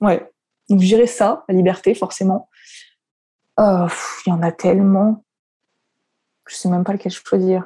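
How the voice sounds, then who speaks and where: A woman speaks at a medium pitch with a dark, mellow tone that is somewhat breathy. Her pace is fairly slow and her intonation fairly even, with long, frequent pauses and big swings in loudness. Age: 20s. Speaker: content creator, former primary school teacher. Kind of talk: casual interview chat.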